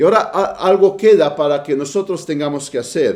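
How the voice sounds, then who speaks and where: Here is a man with a Romanian accent. His pitch is fairly high. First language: Romanian (speaking Spanish). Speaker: preacher. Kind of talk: sermon. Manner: halting.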